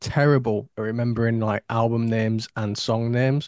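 A man with a Yorkshire accent speaks at medium pitch and a fairly quick pace. The sound is dry and close, with no echo. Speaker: podcast co-host. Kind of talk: casual chat.

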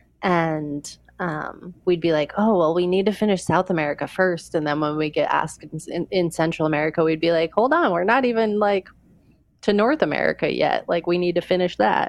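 A woman speaks quietly at a fairly quick pace, her fairly low pitch moving with ordinary variation and her loudness very even. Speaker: long-distance trekker. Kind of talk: interview. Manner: quiet and reserved.

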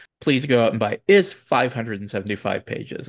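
Recorded in a dry, close sound with no echo over a quiet background, a man speaks with vocal fry. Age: 40s. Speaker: podcast host. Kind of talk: interview. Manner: halting.

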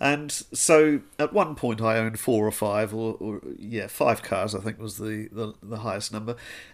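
A man with a New Zealand accent talks at a medium pitch and moderate pace, with ordinary pitch variation and hardly any pauses. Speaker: podcast host. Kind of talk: casual interview.

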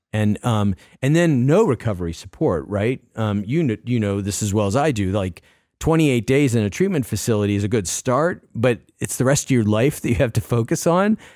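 With lively intonation and a fairly quick pace, this is an ordinary speaking voice. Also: man, medium pitch for a man. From Massachusetts. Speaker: addiction recovery advocate. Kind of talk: interview.

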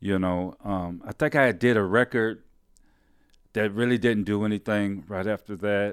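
A man with an American accent and an unremarkable speaking voice, fairly low in pitch, at a moderate pace with fairly even intonation, in a very clean recording with a silent background and a dry, close sound with no echo. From Detroit, Michigan. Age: 60s. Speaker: bass player, musician. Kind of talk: casual interview chat. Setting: home studio.

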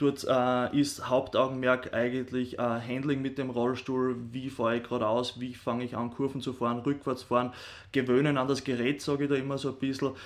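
Fairly even intonation marks a man's medium-pitched voice. He talks at a moderate pace over a quiet background. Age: 30s. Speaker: sports scientist, rehab sports teacher. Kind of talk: interview. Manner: hesitant, many fillers.

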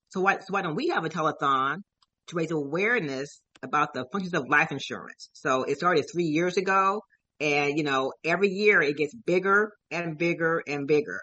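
A woman's unremarkable speaking voice, fairly low in pitch, at a moderate pace with ordinary pitch variation. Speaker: event organizer and life insurance advocate. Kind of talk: radio interview.

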